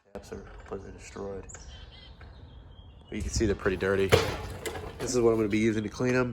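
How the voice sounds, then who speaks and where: Against noticeable background noise and audible room echo, a man talks at a very fast pace with a fairly low pitch. His intonation is fairly even, with long, frequent pauses. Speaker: car detailer. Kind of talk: tutorial.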